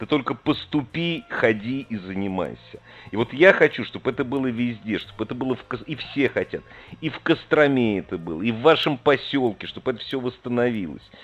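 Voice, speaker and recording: A man with a plain, everyday voice speaks at medium pitch with lively intonation. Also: fairly quick pace. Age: 50s. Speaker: radio host. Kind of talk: call-in radio chat.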